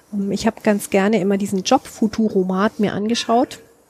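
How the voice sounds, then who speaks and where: A woman speaks at a medium pitch and moderate pace. The sound is dry and close with no echo, but noticeable background noise. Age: 40s. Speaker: author, journalist and musician. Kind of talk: casual interview. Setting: outdoors on a balcony.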